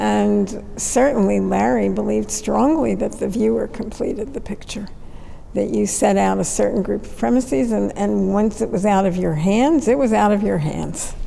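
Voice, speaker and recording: Noticeable background noise and audible room echo surround a woman whose very deep, low voice swings widely in pitch at a moderate pace. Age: 80s+. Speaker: artist and curator. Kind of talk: conversation.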